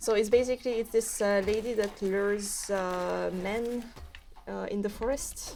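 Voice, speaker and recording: In a French accent, a woman speaks fairly slowly in a fairly high voice with a dark, mellow tone and monotone, flat intonation. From French overseas territory near Canada. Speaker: game developer. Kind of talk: casual chat. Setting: studio. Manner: halting, many fillers.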